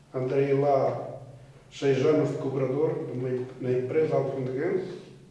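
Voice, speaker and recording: Over noticeable background noise and audible room echo, a man speaks at a very slow pace. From northeastern Portugal, Trás-os-Montes (Alfândega da Fé). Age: 70s. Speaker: retired emigrant worker. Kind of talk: life story interview. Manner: halting, with repetitions.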